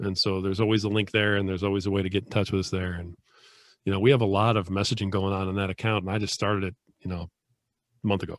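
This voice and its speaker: Speaking very fast in a monotone, flat way, a man with a fairly low pitch is heard on a very clean recording with a silent background. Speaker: author and podcast host. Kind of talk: casual chat.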